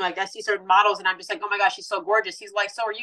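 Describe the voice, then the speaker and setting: A woman is speaking. Her tone is bright and sharp. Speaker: fashion model. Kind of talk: casual interview chat. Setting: remote call from abroad.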